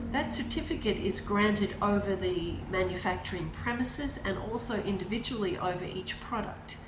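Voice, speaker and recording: A woman talks at a moderate pace with hardly any pauses, her voice carrying audible room echo over noticeable background noise. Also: medium pitch for a woman, ordinary pitch variation. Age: 60s. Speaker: small business owner. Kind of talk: appeal video explaining a fundraiser.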